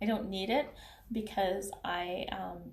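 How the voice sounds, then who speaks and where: A somewhat breathy voice with a non-native accent and ordinary pitch variation. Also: woman. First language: not English. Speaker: beauty consultant and vlogger. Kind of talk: casual vlog commentary. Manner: halting, many fillers and restarts.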